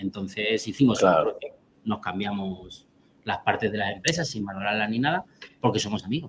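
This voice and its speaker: A man with an ordinary speaking voice talks at a fairly quick pace, fairly low in pitch, with ordinary pitch variation. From Albacete, Spain. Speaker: cheesemaker. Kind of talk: interview.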